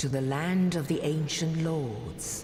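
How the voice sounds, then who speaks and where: In a put-on character voice, a woman speaks at a fairly slow pace with a very deep, low pitch and a solemn tone, with a slight echo and clear background noise. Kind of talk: epic fantasy prophecy narration. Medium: video game. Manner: slow, solemn.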